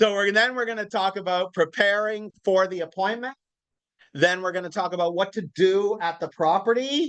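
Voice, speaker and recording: A man speaks loudly at a moderate pace, high in pitch with ordinary variation. The background is quiet. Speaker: real estate coach. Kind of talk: live training class. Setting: classroom with live audience.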